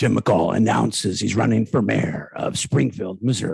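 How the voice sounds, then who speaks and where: A man puts on a raspy character voice, very deep and low in pitch. He speaks at a moderate pace with very wide pitch swings. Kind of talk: broadcast announcement.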